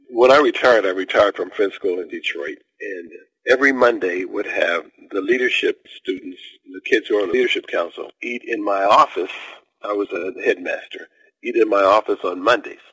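This man's loudness swings widely. The sound is dry and close, with no echo. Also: fairly quick pace. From US Midwest, Ohio. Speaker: author and retired educator. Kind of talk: interview.

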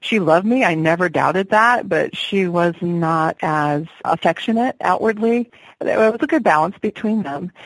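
An unremarkable speaking voice from a woman with an American accent, medium in pitch, with lively intonation, a moderate pace, hardly any pauses and a dry, close sound with no echo. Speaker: singer-songwriter.

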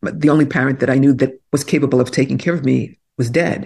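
Against a quiet background, a woman with an American accent speaks at a very deep, low pitch with vocal fry. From Brooklyn, New York. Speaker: author and executive coach. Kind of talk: interview. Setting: video call.

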